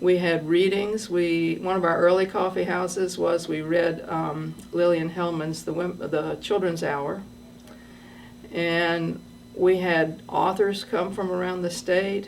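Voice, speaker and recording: The delivery is monotone and flat, at a very slow pace. Room echo can be heard. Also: woman, fairly low pitch for a woman. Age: 60s. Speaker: retired schoolteacher and massage therapist, storyteller. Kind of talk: personal storytelling. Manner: hesitant with frequent fillers.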